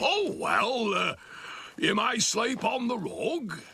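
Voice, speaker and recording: A man's cartoonish character voice, extremely high-pitched and very slow. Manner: gruff and curt.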